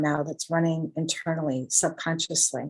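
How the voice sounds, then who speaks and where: Speaking at a moderate pace, a woman with a plain, everyday voice uses a fairly low pitch and ordinary pitch variation. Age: 60s. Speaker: guest sharing healing story. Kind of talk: testimony.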